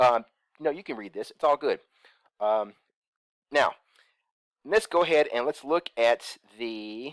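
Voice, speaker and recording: A man speaks at a moderate pace with lively intonation, in a very clean recording with a silent background and a dry, close sound with no echo. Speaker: crypto investment YouTuber. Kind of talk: screen-share tutorial. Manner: casual, many fillers.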